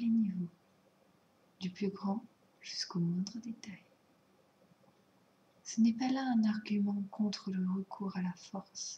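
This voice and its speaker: Soft-spoken, this voice moves at a very slow pace. Long pauses come often. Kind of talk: ASMR soft-spoken show and tell.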